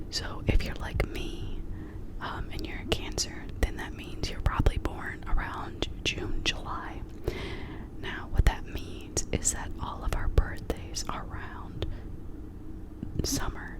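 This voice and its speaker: Someone whispers at a very slow pace, leaving long, frequent pauses. Noticeable background noise runs underneath. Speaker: ASMR creator. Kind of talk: ASMR whispered chat to camera. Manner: whispered.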